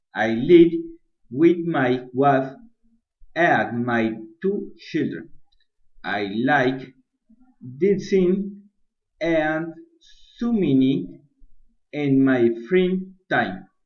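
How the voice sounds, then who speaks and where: A man in a Spanish accent, fairly high in pitch, at a very slow pace with long, frequent pauses and very wide pitch swings, amid audible room echo. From Colombia, Bucaramanga, Santander. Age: 30s. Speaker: business administration student. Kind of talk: prepared presentation in a second language. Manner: halting, non-fluent.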